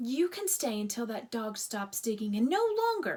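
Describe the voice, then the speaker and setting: Using a put-on character voice, a woman speaks high-pitched at a moderate pace. Her pitch swings very wide. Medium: read story. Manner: disagreeable, curt.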